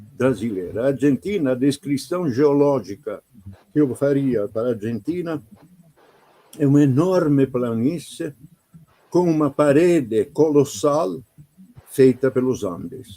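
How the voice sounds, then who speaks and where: In an Italian accent, a man talks fairly slowly with a fairly high pitch, a dark, mellow tone, lively intonation and long, frequent pauses. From Italy. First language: Italian (speaking Portuguese). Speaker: painter. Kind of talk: interview.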